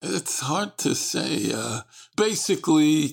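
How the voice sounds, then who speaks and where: The voice carries an American accent. The recording is very clean, with a silent background. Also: man. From Brooklyn, New York. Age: 70s. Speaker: retired orthopedic surgeon, baseball fan. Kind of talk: casual chat.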